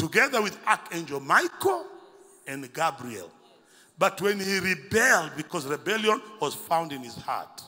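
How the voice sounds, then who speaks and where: The speaker is a man. His pace is fairly slow. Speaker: preacher. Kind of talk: sermon. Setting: church. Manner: animated; call-and-response, commanding. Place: church. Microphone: handheld.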